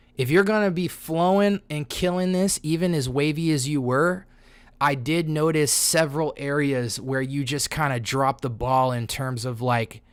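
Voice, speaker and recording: An animated tone comes through at a moderate pace on a very clean recording with a silent background. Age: 30s. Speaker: rapper and music reviewer. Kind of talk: music critique on a livestream. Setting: livestream with chat. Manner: casual, animated.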